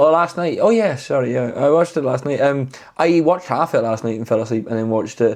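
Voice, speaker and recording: A man talks at a very fast pace with a fairly high pitch. His Scottish accent carries lively intonation. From Scotland. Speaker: podcast co-host. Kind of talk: casual chat. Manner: halting.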